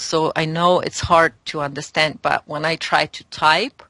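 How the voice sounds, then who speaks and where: Speaking with a non-native accent, this woman has a very deep, low pitch, a bright, sharp tone and fairly even intonation. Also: dry, close sound with no echo. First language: not English. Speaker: spiritual guest. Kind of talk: interview. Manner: halting.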